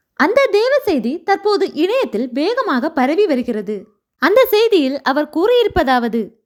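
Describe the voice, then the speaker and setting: Reaching an extremely high pitch, a woman speaks with very wide pitch swings. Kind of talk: news-style religious narration.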